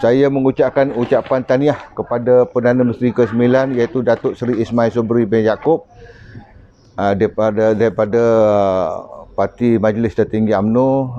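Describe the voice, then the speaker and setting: At a moderate pace, a man with a medium pitch keeps his intonation fairly even. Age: 60s. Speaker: retired soldier. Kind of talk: interview. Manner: halting.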